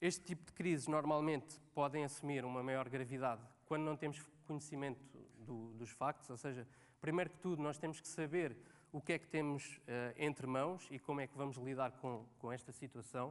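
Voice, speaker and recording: A man with a fairly high pitch speaks at a moderate pace. His intonation stays fairly even while his loudness swings widely. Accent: Lisbon. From Portugal, Cascais area (Lisbon). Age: 30s. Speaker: social media manager, conference speaker. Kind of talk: conference talk. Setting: stage with audience. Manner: hesitant, many fillers.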